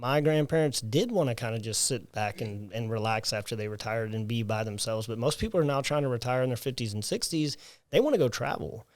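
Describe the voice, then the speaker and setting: Speaking with a Southern US accent, this man has a medium pitch and ordinary pitch variation. He goes at a very fast pace with hardly any pauses, in a very clean recording with a silent background. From US South, South Alabama. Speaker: personal trainer, gym owner. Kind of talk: interview. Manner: animated.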